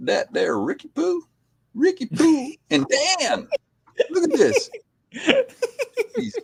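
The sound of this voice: A put-on character voice from a man with a Southern US accent, extremely high in pitch, very slow, with long, frequent pauses. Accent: southern drawl.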